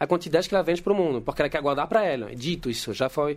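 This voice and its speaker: A male voice of high pitch with ordinary pitch variation, recorded very cleanly against a silent background. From France. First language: French (speaking Portuguese). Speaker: geologist. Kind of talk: casual chat.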